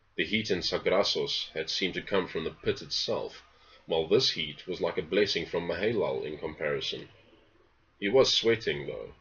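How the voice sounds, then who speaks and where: Here a man talks with a South African accent. His pace is moderate. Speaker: novelist. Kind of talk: reading aloud; casual introduction. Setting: home study.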